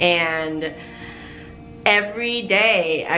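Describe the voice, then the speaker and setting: Her voice sits fairly low for a woman and has audible room echo. Music plays in the background. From Korea, US military base. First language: Korean. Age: 30s. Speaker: YouTuber. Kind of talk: personal story time.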